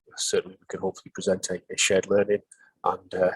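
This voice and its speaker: A man talks at a very fast pace in a northeast English accent, his voice dry and close with no echo. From northeast England. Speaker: pharmacy superintendent. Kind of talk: webinar presentation. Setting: online webinar. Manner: hesitant, many fillers.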